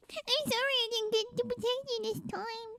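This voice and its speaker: This squeaky, put-on character voice moves along at a moderate pace. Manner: apologetic, weak.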